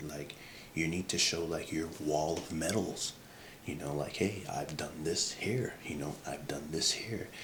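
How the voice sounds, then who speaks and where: Over noticeable background noise and audible room echo, a man with a very deep, low pitch talks at a fairly slow pace with fairly even intonation. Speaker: career advice creator. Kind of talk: casual advice vlog. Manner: halting, many fillers; soft-spoken.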